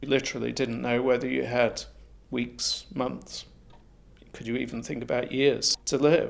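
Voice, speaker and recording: A man speaks at a moderate pace. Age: 60s. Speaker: person living with HIV. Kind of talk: testimony.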